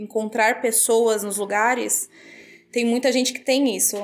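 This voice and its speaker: On a very clean recording with a silent background, a woman talks at a moderate pace. She has an unremarkable speaking voice, fairly high in pitch with ordinary pitch variation. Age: 20s. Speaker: travel industry worker. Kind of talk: casual chat.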